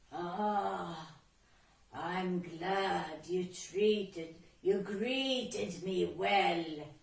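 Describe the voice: A woman in a put-on character voice, croaky and raspy at a medium pitch, speaks very slowly with a slight echo.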